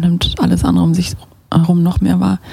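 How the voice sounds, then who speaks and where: A woman speaks over noticeable background noise. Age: 30s. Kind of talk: casual interview chat.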